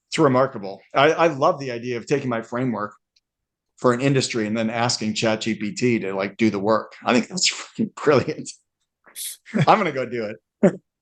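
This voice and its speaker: At a fairly quick pace, a man talks at medium pitch with lively intonation. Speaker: speaker and author. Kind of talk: casual chat. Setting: video call. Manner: loud.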